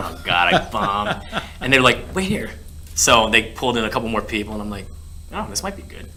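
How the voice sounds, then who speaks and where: A man talks at a fairly quick pace with ordinary pitch variation and big swings in loudness. Noticeable background noise is present. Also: fairly low pitch for a man. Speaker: actor and voice actor. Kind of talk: casual interview answer, recounting an anecdote. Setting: studio interview on camera.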